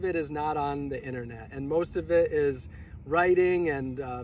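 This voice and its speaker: The sound is dry with no echo, the pace is moderate, and there is light background noise. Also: man. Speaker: vlogger. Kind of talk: casual vlog chat. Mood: cheerful, reflective. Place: open country.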